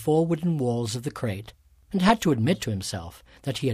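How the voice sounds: With lively intonation, the voice reads in a natural way.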